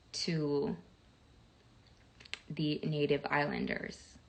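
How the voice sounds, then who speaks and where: Over noticeable background noise, a woman speaks at a very deep, low pitch with fairly even intonation. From Jamaica. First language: Jamaican Patois. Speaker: live streamer. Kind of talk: casual live stream chat. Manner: halting, fumbles over words.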